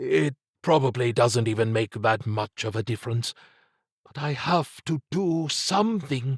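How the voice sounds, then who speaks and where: Using a put-on character voice, a man talks at medium pitch with lively intonation. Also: moderate pace. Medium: read story. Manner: earnest, plain-spoken.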